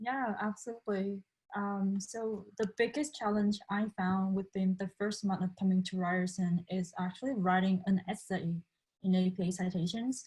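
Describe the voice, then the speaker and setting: With fairly even intonation and a medium pitch, a woman speaks at a moderate pace in a somewhat breathy voice. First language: Vietnamese. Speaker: international student. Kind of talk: panel discussion.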